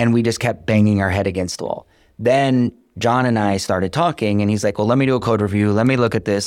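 A man with an American accent talks at a fairly quick pace in an unremarkable speaking voice, medium in pitch with ordinary pitch variation. The recording is very clean, with a silent background. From Iowa, US Midwest. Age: 50s. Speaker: software startup founder. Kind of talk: interview.

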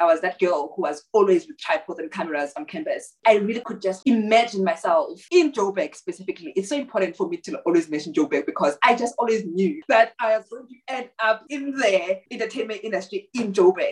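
Fairly high in pitch, a woman's voice shows very wide pitch swings and big swings in loudness. She talks at a fairly quick pace with hardly any pauses. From South Africa, rural Eastern Cape. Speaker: television producer. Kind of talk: casual chat. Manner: animated.

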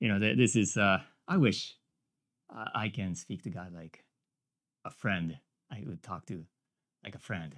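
A moderate pace with long, frequent pauses and lively intonation, in a Japanese accent. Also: man, fairly low pitch for a man. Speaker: minister and business owner. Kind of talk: sermon. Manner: halting.

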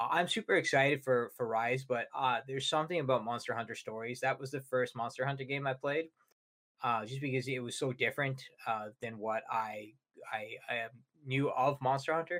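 The voice is a plain, everyday voice, belonging to a man and pitched at a medium level. He talks at a fairly quick pace, with fairly even intonation. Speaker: gaming show co-host. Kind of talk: casual chat about video games.

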